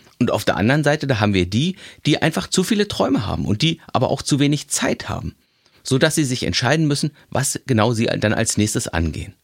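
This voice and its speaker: The voice moves at a fairly quick pace with very wide pitch swings and vocal fry, recorded dry and close with no echo. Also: man, medium pitch for a man, very clean recording, silent background. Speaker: podcast host. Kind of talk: inspirational monologue.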